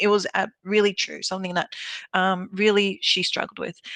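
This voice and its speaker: A woman with an Australian accent talks at a moderate pace and medium pitch, her tone bright and sharp. The sound is dry and close, with no echo. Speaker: clinical hypnotherapist. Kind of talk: interview answer.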